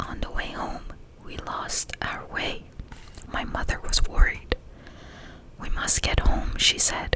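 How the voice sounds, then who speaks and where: Whispering at a fairly slow pace, a woman keeps a soothing tone while noticeable background noise is heard. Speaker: ASMR creator. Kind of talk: bedtime story reading. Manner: whispered, soothing.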